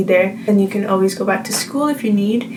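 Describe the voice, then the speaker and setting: Amid noticeable background noise and audible room echo, a woman speaks in an American accent at a medium pitch. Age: 20s. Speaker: vlogger. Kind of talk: casual chat.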